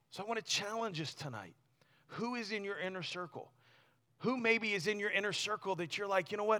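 A man's raised, projected voice, high-pitched, with a bright, sharp and animated tone. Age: 40s. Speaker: youth pastor. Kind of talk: sermon. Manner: halting.

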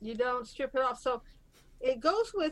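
Her intonation lively, a woman speaks at a high pitch. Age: 60s. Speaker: real estate investor. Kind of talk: casual interview.

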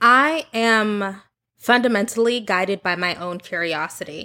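A woman with an American accent, bright and sharp in tone, at a very slow pace with ordinary pitch variation, on a very clean recording with a silent background. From US South (Oklahoma and Texas suburbs). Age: 30s. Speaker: content creator. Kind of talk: interview.

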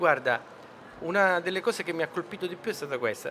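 A man speaks over noticeable background noise. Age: 50s. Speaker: film director and author. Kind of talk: interview. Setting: radio stand at a book fair.

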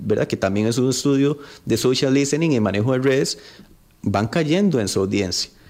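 A man with an unremarkable speaking voice and medium pitch talks at a fairly quick pace with lively intonation. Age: 30s. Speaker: politician. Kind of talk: radio interview.

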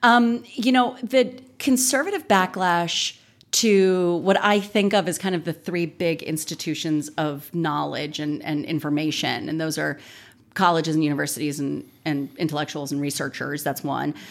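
In an American accent, a normal speaking voice moves at a moderate pace with lively intonation on a very clean recording with a silent background. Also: woman, fairly low pitch for a woman. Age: 40s. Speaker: political science professor and author. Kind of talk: interview.

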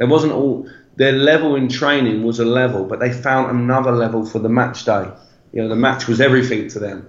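A man with a London accent talks at a fairly quick pace in a medium pitch, his intonation fairly even, with audible room echo. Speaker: football coach. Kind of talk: casual interview chat.

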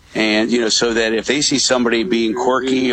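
Fairly quick speech from a man at a medium pitch, with noticeable background noise. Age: 60s. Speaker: real estate broker and parent advocate. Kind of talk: radio interview. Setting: remote call from a coffee shop.

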